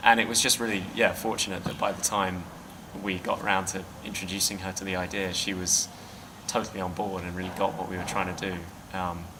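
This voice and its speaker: With a British accent, a man speaks at a fairly quick pace in a very deep, low pitch with monotone, flat intonation, amid audible room echo and noticeable background noise. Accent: clearly British. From Britain. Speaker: filmmaker. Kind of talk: interview. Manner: hesitant, many fillers.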